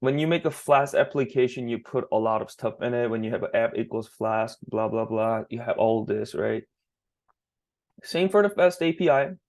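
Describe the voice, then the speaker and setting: A man with a non-native accent speaks at a moderate pace. The background is quiet. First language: not English. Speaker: student developer teaching teammates. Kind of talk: screen-share coding tutorial. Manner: halting, self-correcting.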